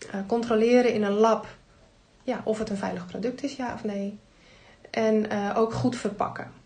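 A somewhat breathy voice with a dark, mellow tone moves at a fairly slow pace in monotone, flat intonation, with audible room echo. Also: woman. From Netherlands, North Holland (Heemskerk). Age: 50s. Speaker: tea product distributor. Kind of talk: casual interview. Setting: studio, face to face at table.

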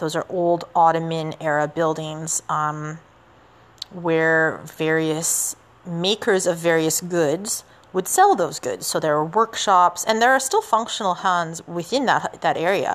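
A woman with a Canadian accent, an unremarkable speaking voice, a fairly low pitch with ordinary variation, and a fairly slow pace. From Canada. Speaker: podcast host and teacher. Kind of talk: solo history podcast narration. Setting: outdoors walking in the city. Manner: casual, with many fillers.

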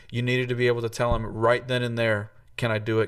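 A normal speaking voice from a man with an American accent, medium in pitch, with fairly even intonation. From US South, Tennessee. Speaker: trombonist and music professor. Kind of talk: casual interview conversation. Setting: video call.

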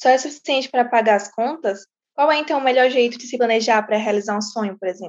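With a high voice and ordinary pitch variation, a woman rattles along at a very fast pace. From São Luís, Maranhão, Brazil. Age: young. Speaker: youth project participant. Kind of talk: casual chat.

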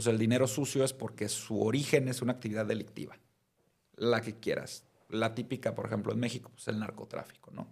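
Using an unremarkable speaking voice, a man talks at a fairly quick pace. His pitch is medium and his intonation fairly even. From Mexico, Mazatlán (Sinaloa). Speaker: criminal defense lawyer. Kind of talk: casual chat.

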